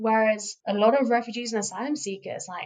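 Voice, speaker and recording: A woman's voice at medium pitch with fairly even intonation. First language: Farsi. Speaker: podcast host and interpreter. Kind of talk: casual podcast conversation.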